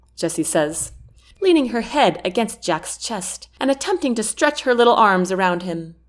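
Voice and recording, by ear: Someone reading aloud in a natural voice, with lively intonation.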